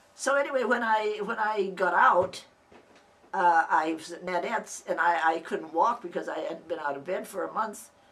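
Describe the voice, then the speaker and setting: Noticeable background noise runs beneath a woman's voice. She speaks at a moderate pace with big swings in loudness. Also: medium pitch for a woman. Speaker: family oral history narrator. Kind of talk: personal reminiscence. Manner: halting, with many restarts.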